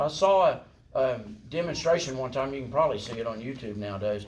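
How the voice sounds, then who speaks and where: A man with a Southern US accent, fairly quick in pace with very wide pitch swings, amid noticeable background noise and audible room echo. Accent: US South. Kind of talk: lecture. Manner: animated.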